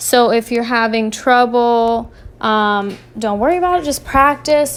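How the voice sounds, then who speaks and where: The clip features a normal speaking voice. Pitch moves in an ordinary way. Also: woman. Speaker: art teacher. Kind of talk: tutorial.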